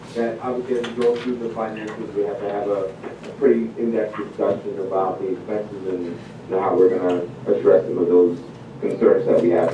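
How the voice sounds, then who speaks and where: Noticeable background noise and audible room echo surround a man speaking. His pitch is fairly low, his pace fairly quick, and his intonation fairly even. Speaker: board member. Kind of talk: board meeting.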